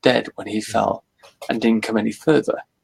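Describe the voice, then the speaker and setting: The sound is dry and close, without echo, as a man talks at a moderate pace. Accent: British. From Britain. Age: 40s. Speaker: author and cryptozoology enthusiast. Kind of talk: casual interview chat.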